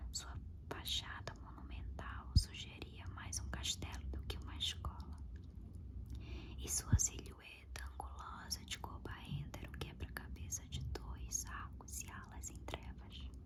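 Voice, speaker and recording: Whispering at a fairly slow pace, with noticeable background noise. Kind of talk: whispered audiobook-style reading of a novel. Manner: whispered.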